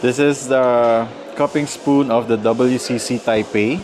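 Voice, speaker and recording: Clear background music behind a male speaker. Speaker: coffee vlogger. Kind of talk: casual vlog chat. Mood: relaxed, undecided. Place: shop. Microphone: lapel.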